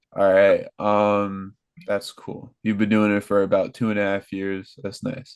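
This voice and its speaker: With an American accent, a man speaks in a fairly low voice. His pace is fairly slow and his intonation monotone and flat. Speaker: podcast host. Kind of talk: casual chat.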